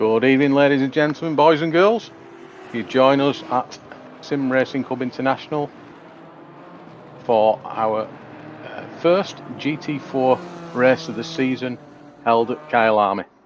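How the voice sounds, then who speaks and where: Over noticeable background noise, a man speaks at a fairly slow pace with long, frequent pauses and ordinary pitch variation. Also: medium pitch for a man. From England. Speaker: sim racing commentator. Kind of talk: live commentary. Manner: hesitant, many fillers.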